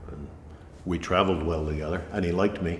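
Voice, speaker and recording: A man with an American accent talks at a fairly quick pace, his very deep, low voice somewhat breathy. His intonation stays fairly even, with audible room echo around him. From New Hampshire, US. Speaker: folk musician. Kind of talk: casual chat.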